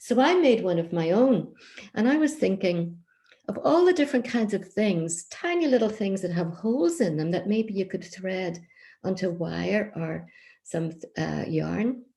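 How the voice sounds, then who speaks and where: At a fairly slow pace, a woman speaks with lively intonation in a dark, mellow, somewhat breathy tone. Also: medium pitch for a woman, very clean recording, silent background. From County Down, Northern Ireland. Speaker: children's author and traditional storyteller. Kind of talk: craft explanation to children.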